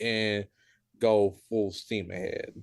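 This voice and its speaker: Recorded very cleanly against a silent background, a man with a Southern US accent speaks at a fairly low pitch. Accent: Southern drawl. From US South, Tennessee. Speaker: aspiring voice actor, community member. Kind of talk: casual chat.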